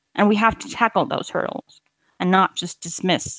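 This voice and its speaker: This is a normal speaking voice. Its pitch varies in an ordinary way. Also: woman, dry, close sound with no echo. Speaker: relocation specialist. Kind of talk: interview.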